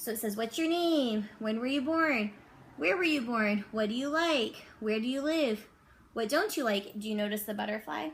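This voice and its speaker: A woman with a fairly high pitch talks at a moderate pace, her intonation lively and her voice somewhat breathy. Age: 30s. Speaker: elementary school teacher. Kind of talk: reading aloud; casual chat.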